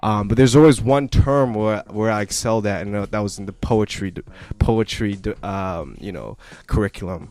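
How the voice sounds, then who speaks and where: A man speaks at a moderate pace and fairly low pitch with ordinary pitch variation. The recording is very clean, with a silent background. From Canada, east side of Vancouver. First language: not English (language not named). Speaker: rapper. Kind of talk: radio interview. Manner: halting, many fillers.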